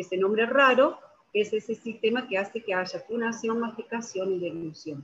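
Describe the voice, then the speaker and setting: A woman with a Rioplatense accent, fairly high pitch, ordinary pitch variation and a moderate pace. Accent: Argentine Spanish (rioplatense, voseo). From Argentina. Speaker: physiotherapist and lecturer. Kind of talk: presentation with slides. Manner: halting, many fillers.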